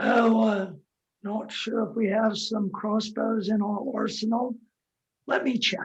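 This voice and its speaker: Putting on a character voice, a man speaks in a high, raspy tone with monotone, flat intonation at a fairly slow pace. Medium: audio drama. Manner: hesitant, stammering.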